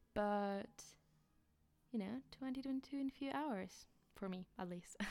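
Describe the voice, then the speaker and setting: The speaker has a Polish accent and a dark, mellow tone. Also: woman. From Poland. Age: 20s. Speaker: student podcaster. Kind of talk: casual monologue, audio diary. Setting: home recording, room with echo. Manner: halting, with fillers and laughs.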